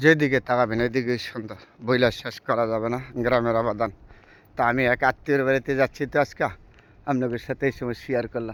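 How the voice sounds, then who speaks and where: A man talks at a medium pitch. His intonation is flat and monotone. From Bangladesh, Narsingdi district. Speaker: vlogger. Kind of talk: casual vlog narration. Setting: outdoors, travelling through a village.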